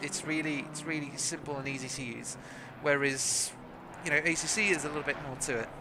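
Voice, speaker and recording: A man talks at a fairly quick pace in a fairly high voice with fairly even intonation. Noticeable background noise and audible room echo surround him. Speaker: sim racing commentator. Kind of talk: live commentary. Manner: stuttering, halting; fast.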